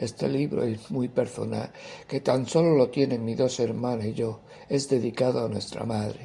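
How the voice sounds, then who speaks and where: A man's dark, mellow tone with vocal fry, fairly even intonation and a moderate pace. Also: medium pitch for a man. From Andalusia, Seville province (Carmona). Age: 60s. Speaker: poet and writer. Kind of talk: interview answers, personal account.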